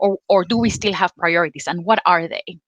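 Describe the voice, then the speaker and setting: A woman speaks at a medium pitch with a Spanish accent and ordinary pitch variation. Her tone is bright and sharp, and the sound is dry and close with no echo. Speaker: energy policy representative, panel moderator. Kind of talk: panel moderation. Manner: hesitant, many fillers.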